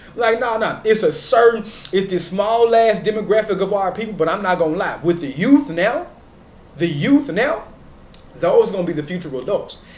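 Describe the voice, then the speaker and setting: With noticeable background noise behind it, an animated voice in an American accent moves at a moderate pace with lively intonation. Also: man, high pitch for a man. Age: 30s. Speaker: commentary YouTuber. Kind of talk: reaction commentary.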